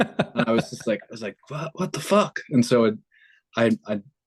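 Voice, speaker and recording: A man's medium-pitched voice with ordinary pitch variation at a moderate pace, dry and close with no echo. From Northern Ireland, Derry; moved to US South as a child. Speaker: rock band musician. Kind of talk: casual podcast interview.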